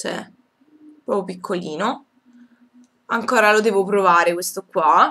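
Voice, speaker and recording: A woman talks at a fairly slow pace. Her pitch varies in an ordinary way. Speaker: beauty vlogger. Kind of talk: product review haul. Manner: hesitant, many fillers. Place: home room. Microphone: webcam.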